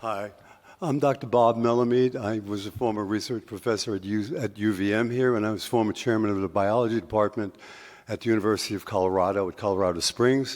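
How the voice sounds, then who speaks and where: Talking at a very fast pace, a man with a fairly low voice keeps his intonation fairly even. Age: 70s. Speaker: retired biology professor. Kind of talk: public forum comment. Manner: impassioned.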